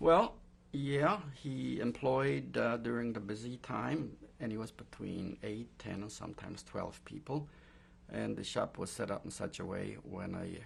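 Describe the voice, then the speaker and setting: A man's medium-pitched voice with vocal fry, lively intonation and a moderate pace. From Poland. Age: 60s. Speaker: Holocaust survivor. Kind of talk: oral history interview. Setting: recorded interview. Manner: hesitant, many fillers.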